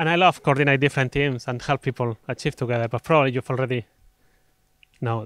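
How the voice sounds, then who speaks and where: A man's medium-pitched voice with a Spanish accent, very fast in pace, with fairly even intonation and big swings in loudness, in a very clean recording with a silent background and a dry, close sound with no echo. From Spain. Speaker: conference speaker. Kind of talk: conference talk.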